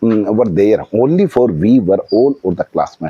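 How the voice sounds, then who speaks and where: Speaking at a fairly slow pace, a man with an Indian accent has a medium pitch and a dark, mellow tone. His pitch swings very widely, and the sound is dry and close with no echo. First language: Hindi. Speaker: vlogger practicing English. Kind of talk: casual monologue. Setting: outdoors on a house terrace. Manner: halting, with fillers.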